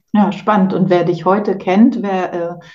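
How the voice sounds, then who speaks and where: A woman's medium-pitched voice, dark and mellow, at a fairly slow pace with fairly even intonation. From Poland, moved to Germany at 8. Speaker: podcast host, naturopath. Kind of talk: casual interview.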